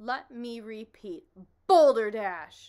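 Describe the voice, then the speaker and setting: A booming, put-on character voice rises and falls with lively intonation. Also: woman. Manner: loud, indignant, repeating emphatically.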